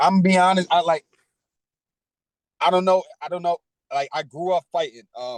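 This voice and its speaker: A high-pitched man with an American accent, ordinary pitch variation, and long, frequent pauses, in a dry, close sound with no echo. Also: moderate pace. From Spring Valley, Rockland County, New York. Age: 30s. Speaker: podcast guest, former felon. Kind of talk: casual interview.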